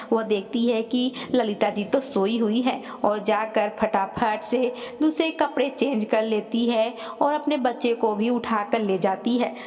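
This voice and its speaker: There is noticeable background noise behind this woman. Her fairly high pitch carries fairly even intonation and very even loudness. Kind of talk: storytelling narration.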